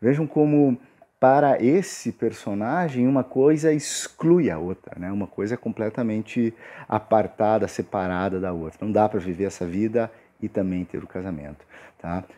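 With a dark, mellow tone and a fairly low pitch, a man speaks at a moderate pace using lively intonation. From Brazil. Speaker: book reviewer on a literature channel. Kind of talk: casual book review monologue. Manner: animated. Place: home room. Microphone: earbuds.

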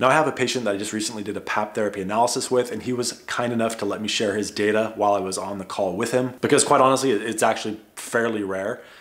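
A man talks at a very fast pace. His intonation is fairly even. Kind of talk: educational vlog talk. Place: home room.

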